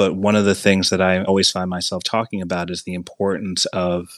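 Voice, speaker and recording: A man's very deep, low voice in flat monotone intonation at a moderate pace, with a dry, close sound and no echo. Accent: American. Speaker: university teacher and chapter author. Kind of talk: educational podcast discussion.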